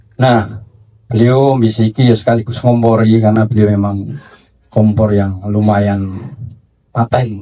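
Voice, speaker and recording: Speaking at a fairly slow pace, a man with a fairly low pitch and a dark, mellow tone keeps a monotone, flat intonation and very even loudness. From Java, Indonesia. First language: Javanese (speaking Indonesian). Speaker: book publisher. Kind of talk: panel discussion. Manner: halting.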